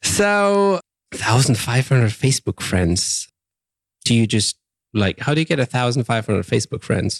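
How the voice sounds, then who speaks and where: A German accent comes with very wide pitch swings and very even loudness. The sound is dry and close with no echo. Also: man, medium pitch for a man, moderate pace, very clean recording, silent background. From Germany. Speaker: podcast host. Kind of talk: casual interview.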